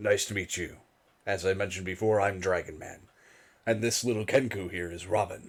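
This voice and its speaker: Using a put-on character voice, a man talks at a fairly quick pace, raspy and fairly low in pitch. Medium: actual play. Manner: formal, measured.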